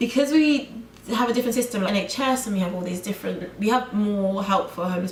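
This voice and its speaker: In a British accent, a woman speaks at a fairly quick pace with a medium pitch and ordinary pitch variation. There is noticeable background noise. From United Kingdom. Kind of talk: casual talk to camera. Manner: ranting.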